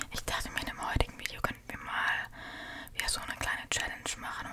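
A woman whispers her words at a moderate pace. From Germany. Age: 20s. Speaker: ASMR creator. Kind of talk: ASMR video. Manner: soft-spoken. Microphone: studio mic.

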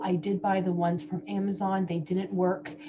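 A woman is speaking, with noticeable background noise around her. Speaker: dental hygienist reviewer. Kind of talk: casual product review chat. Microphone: webcam.

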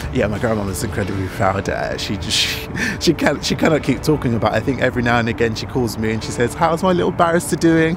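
Over clear music in the background, a man with a medium pitch races along at a very fast pace with hardly any pauses and very wide pitch swings, in a dry sound with no echo. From south London, Brixton; London. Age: 20s. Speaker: barrister. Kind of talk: interview testimony; interview answer. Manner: some hesitations and repetitions. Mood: warm, proud, smiling. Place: street. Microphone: handheld.

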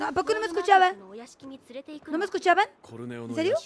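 A woman speaks over light background noise. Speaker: gaming streamer. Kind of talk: live gameplay stream chat. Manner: soft-spoken. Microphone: far from the mic, too quiet at first.

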